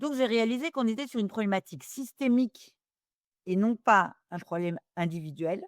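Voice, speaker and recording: Woman speaking at a moderate pace with lively intonation. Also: dry, close sound with no echo. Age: 60s. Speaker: business school professor and governance expert. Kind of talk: interview. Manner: hesitant, with many fillers.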